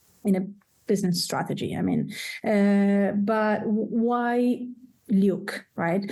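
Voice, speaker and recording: At a very slow pace, this voice has an Italian accent, a dark, mellow tone and fairly even intonation. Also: woman, medium pitch for a woman. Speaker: professor, degree program coordinator. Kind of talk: presentation. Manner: halting, many fillers.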